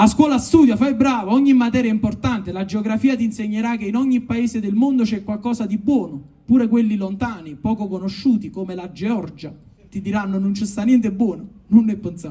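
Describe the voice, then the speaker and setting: A man's high-pitched voice at a fairly quick pace, with ordinary pitch variation. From Naples, Italy. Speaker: stand-up comedian. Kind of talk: comic letter read aloud. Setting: live stage with audience.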